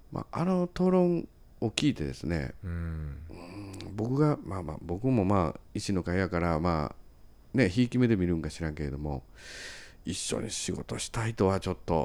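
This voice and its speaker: A man with a very deep, low pitch speaks at a moderate pace with lively intonation on a very clean recording with a silent background. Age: 40s. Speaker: city council member and podcast host. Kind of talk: casual political chat. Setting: recorded late at night.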